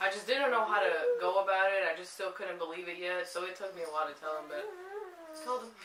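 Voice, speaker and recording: Very fast and lively in intonation, a woman speaks over noticeable background noise. The room echo is audible. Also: medium pitch for a woman, big swings in loudness. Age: 20s. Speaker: young mother. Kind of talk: casual chat.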